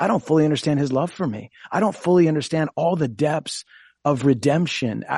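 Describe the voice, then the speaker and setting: A man with an American accent and a normal speaking voice, fairly high in pitch, with ordinary pitch variation at a moderate pace, in a dry, close sound with no echo and a quiet background. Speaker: pastor. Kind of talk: radio talk show discussion.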